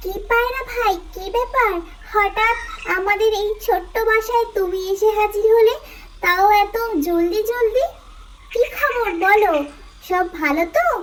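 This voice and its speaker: A female-sounding cartoonish character voice at an extremely high pitch talks at a fairly slow pace over clear background noise. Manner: lively, warm.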